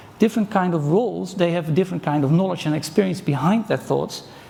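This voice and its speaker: With a Dutch accent and ordinary pitch variation, the voice comes through noticeable background noise. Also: man. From Netherlands. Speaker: conference speaker. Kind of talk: conference talk.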